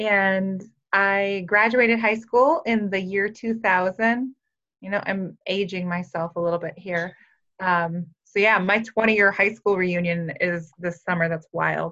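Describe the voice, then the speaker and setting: A woman with an American accent, bright, sharp tone, fairly even intonation and fairly slow pace. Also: medium pitch for a woman. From rural Minnesota, US Upper Midwest. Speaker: wellness program supervisor and personal trainer. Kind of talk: interview. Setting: video call.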